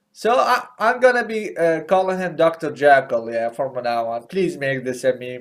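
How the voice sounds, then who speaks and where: With a non-native accent, a man speaks at a fairly slow pace using lively intonation. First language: not English. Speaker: gaming YouTuber. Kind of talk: stand-up. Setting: home recording, seated. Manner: halting, many fillers and repeats.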